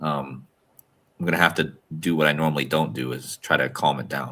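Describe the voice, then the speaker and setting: Soft-spoken, a man with a very deep, low pitch, vocal fry and a bright, sharp tone talks at a fairly quick pace with ordinary pitch variation. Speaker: podcast co-host. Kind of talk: casual chat. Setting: video call from a hostel room. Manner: normally loud. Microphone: good mic, clear.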